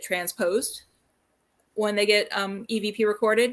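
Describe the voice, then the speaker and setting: This is a woman speaking. Her pitch is medium. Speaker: paranormal researcher and show host. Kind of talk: casual chat. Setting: live stream video call. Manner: fast.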